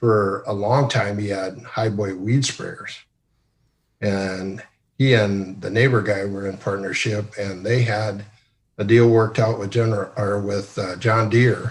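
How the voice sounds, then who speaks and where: In an American accent, a man speaks at a fairly low pitch, somewhat breathy. His intonation is monotone and flat, and his pace is fairly slow. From northwest Iowa, US Midwest. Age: 60s. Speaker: retired company executive. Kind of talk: interview. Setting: video call.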